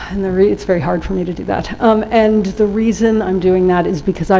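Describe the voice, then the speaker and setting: A woman with a New York accent, fairly low in pitch and fairly even in intonation, with noticeable background noise and audible room echo. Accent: New York American. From US, New York. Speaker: workshop trainer on trade rules. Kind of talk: lecture.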